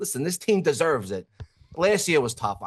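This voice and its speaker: In a strong New York accent, a high-pitched man speaks with very wide pitch swings. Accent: thick New York. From New York (grew up Yankee fan, parades). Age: 30s. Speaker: guest, former TV actor. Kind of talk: casual chat. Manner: animated.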